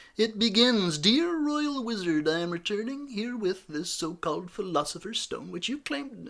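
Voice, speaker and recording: A man's put-on character voice, high-pitched, at a moderate pace with hardly any pauses. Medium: read story.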